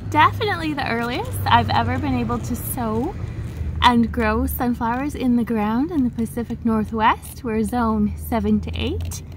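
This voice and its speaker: A woman talks at a moderate pace with noticeable background noise present. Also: dry sound with no echo. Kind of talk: casual vlog chat. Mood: excited, cheerful. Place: garden. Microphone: phone near.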